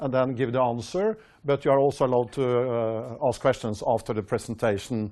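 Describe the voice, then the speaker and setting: Against a quiet background, a man speaks with a Norwegian accent. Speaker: company executive. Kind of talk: investor presentation. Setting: stage with audience, webcast. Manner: halting, many fillers.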